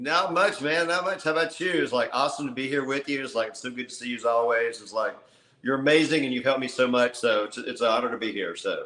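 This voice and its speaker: Noticeable background noise sits behind a man talking at a very fast pace. His medium pitch moves with ordinary variation. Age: 60s. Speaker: insurance sales motivator, weight-loss client. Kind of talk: interview testimony. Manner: halting, many fillers.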